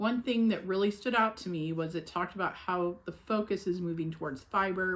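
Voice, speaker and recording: Using an unremarkable speaking voice, a woman talks at a moderate pace and a fairly low pitch with lively intonation. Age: 60s. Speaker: weight-loss vlogger. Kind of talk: casual vlog check-in. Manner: casual, chatty.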